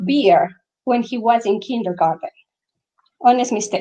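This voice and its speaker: A woman with a strong non-native accent, dark, mellow tone, and moderate pace. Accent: thick foreign. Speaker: author. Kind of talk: reading aloud. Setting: live online event.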